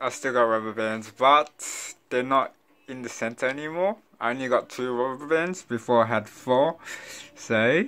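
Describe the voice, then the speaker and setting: A man talks in a bright, sharp tone with ordinary pitch variation. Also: moderate pace. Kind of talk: casual vlog chat. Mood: upbeat, animated. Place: home room. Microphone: phone near.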